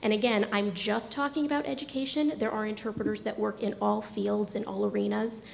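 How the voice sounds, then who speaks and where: Over noticeable background noise, a woman talks at a fairly quick pace with very even loudness and hardly any pauses. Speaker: deaf education administrator presenting to a board. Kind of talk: formal presentation. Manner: fast.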